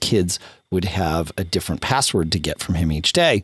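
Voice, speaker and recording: Vocal fry at a moderate pace, dry with no echo, over a quiet background. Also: man. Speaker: podcast host. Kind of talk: casual podcast chat, reading listener mail.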